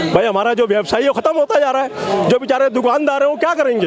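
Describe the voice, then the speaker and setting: With crowd noise in the background, a man speaks in an animated tone at an extremely high pitch. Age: 60s. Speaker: member of the public. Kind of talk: street interview.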